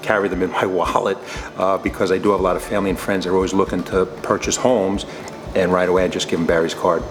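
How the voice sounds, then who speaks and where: With music in the background, a man with a New York accent talks at a very fast pace and a very deep, low pitch. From New York State. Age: 60s. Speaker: retired state trooper. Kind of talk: client testimonial interview answer.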